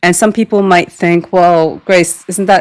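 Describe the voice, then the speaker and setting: A woman's voice, fairly low in pitch. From South Korea and the US. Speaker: literature professor. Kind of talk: interview. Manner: hesitant, many fillers and repetitions.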